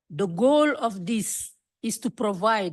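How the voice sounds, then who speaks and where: Against a quiet background, a woman talks with a non-native accent. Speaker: activist. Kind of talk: conference speech.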